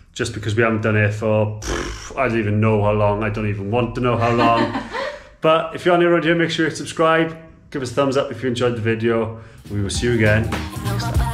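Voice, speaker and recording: At a fairly quick pace and with ordinary pitch variation, a man speaks amid audible room echo. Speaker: travel vlogger. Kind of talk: casual vlog chat. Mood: relaxed, cheerful. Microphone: phone near.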